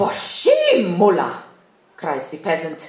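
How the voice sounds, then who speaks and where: Noticeable background noise fills the recording. Through it, a woman talks at a fairly slow pace. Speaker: actress. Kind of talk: short story reading. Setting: live event.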